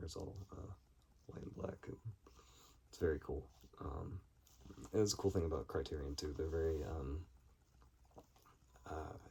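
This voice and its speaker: A man with a very deep, low pitch and a dark, mellow tone speaks at a moderate pace with vocal fry. His pitch varies ordinarily, his loudness swings widely, and he leaves long, frequent pauses. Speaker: film collector video creator. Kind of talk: casual haul video monologue. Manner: halting with many fillers.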